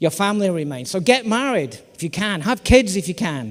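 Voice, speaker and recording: A man in a very clean recording with a silent background. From northwest England. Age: 60s. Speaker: newspaper editor. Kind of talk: convocation address. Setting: stage with audience.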